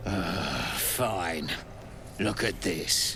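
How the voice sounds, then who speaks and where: Over loud background noise, a man performs a gruff, put-on character voice. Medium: video game. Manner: gruff, coarse, impatient.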